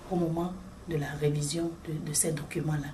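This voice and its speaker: Noticeable background noise sits under a woman talking in a fairly low pitch. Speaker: regional director of an NGO in Africa. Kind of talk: interview answer.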